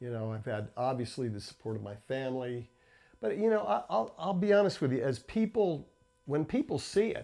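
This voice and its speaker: An American accent at a moderate pace, with very wide pitch swings and music in the background. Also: man. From New Jersey. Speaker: inventor. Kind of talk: interview.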